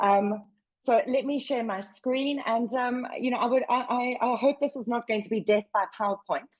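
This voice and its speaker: Loud and high-pitched, a woman speaks at a moderate pace with fairly even intonation in a South African accent. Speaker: workplace wellbeing advocate. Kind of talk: webinar presentation. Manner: loud, projecting.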